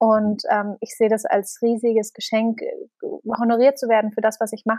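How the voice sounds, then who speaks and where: This woman speaks with monotone, flat intonation. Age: 20s. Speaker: company founder and author. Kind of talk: casual interview.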